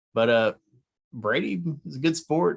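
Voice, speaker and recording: A man mumbles at a moderate pace. His intonation is lively. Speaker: sports podcast co-host. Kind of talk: casual chat. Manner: mumbling.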